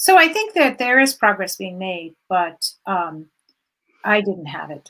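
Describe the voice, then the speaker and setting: A woman's medium-pitched voice with a bright, sharp tone, very wide pitch swings, big swings in loudness and a fairly slow pace. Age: 60s. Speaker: journalist. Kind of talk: interview.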